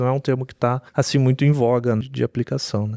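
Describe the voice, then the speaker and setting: A man speaks with a southern Brazilian accent and a dark, mellow tone. The sound is dry and close with no echo, on a very clean recording with a silent background. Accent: gaúcho. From southern Brazil (Rio Grande do Sul). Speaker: software architect. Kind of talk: podcast interview.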